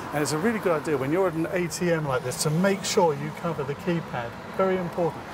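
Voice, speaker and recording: A man talks at a very fast pace with a fairly high pitch. There is noticeable background noise and audible room echo. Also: ordinary pitch variation. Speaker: tech help video presenter. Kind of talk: tutorial. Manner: speaking quietly.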